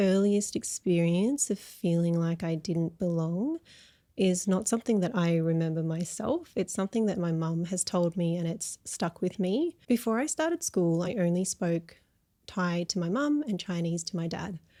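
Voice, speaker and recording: In an Australian accent, a woman speaks at a moderate pace with medium pitch, ordinary pitch variation and a dark, mellow tone, on a very clean recording with a silent background and a dry, close sound with no echo. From Australia, Melbourne. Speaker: counsellor. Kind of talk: interview conversation.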